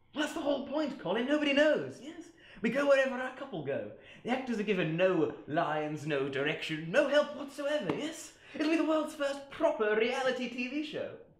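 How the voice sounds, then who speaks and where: A man puts on a character voice, extremely high and breathy, with a pompous tone. He speaks at a moderate pace, and there is a slight echo. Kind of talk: comic overacting. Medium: short film. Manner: pompous, airy, repeating 'yes?'.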